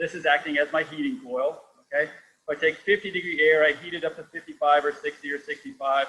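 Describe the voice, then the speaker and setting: A man with a fairly high pitch talks very fast, and his pitch varies in an ordinary way. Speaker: company founder presenting technology. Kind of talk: technical presentation in online workshop. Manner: animated.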